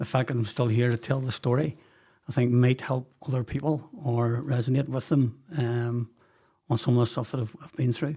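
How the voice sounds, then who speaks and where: At a moderate pace, a man with a Belfast accent speaks at a medium pitch in a dark, mellow, somewhat breathy tone. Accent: Belfast Northern Irish. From Northern Ireland, West Belfast. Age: 60s. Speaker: podcast guest, former businessman. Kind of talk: personal life story interview.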